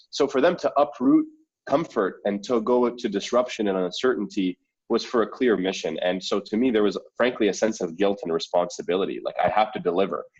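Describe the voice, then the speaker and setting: Here a man speaks with a Canadian accent. He talks at a fairly quick pace. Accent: sounds natively Canadian. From Saudi Arabia, then Canada from age 11. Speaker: startup founder. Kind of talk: interview. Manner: articulate, repeats words when starting sentences.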